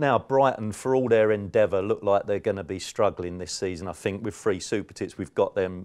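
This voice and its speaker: A man with a South London accent talks at a fairly quick pace, pitched fairly low. He hardly pauses, and the background is quiet. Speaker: football betting tipster. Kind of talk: podcast betting preview.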